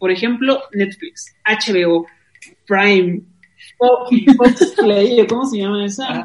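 Long, frequent pauses break up a woman's very slow speech. Her pitch is fairly high, with ordinary variation. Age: 30s. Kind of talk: casual chat.

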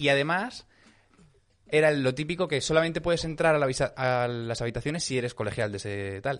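Over a quiet background, a man with a fairly high pitch talks at a fairly quick pace with ordinary pitch variation and long, frequent pauses. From Aragón, Spain. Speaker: podcast host, comedian. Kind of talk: casual chat.

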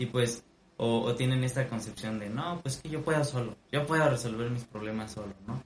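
A man with a plain, everyday voice at medium pitch, a moderate pace, and ordinary pitch variation. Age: 20s. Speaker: musician and student. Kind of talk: casual chat.

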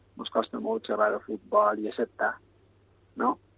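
A man is speaking. He has a Mallorcan accent. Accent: Mallorcan Catalan. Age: 40s. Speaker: youth football coach. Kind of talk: radio interview. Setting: phone call.

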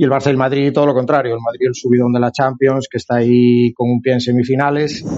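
The voice comes with a Galician accent and a monotone, flat intonation. It races at a very fast pace with hardly any pauses. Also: man, medium pitch for a man. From Galicia, Spain. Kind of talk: casual chat.

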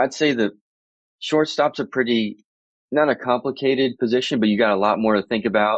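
In a plain, everyday voice, a man with an American accent speaks at a moderate pace with ordinary pitch variation. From Florida, US. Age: 30s. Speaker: baseball coach. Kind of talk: casual interview.

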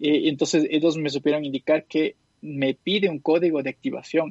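Over a quiet background, a man with a normal speaking voice and a fairly high pitch talks at a fairly slow pace, the sound dry and close with no echo. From Quito, Ecuador. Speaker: podcast co-host. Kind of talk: casual chat.

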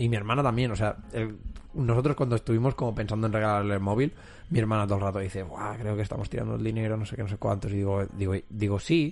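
In a quiet setting, this man's words come out very quickly. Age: 20s. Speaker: podcast host. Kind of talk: casual chat.

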